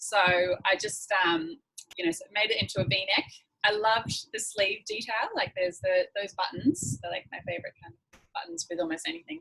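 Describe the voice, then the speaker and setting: A woman with an Australian accent, medium in pitch, her pitch swinging very widely and her loudness in big swings, at a moderate pace. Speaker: secondhand fashion workshop presenter. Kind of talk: online workshop, casual show-and-tell.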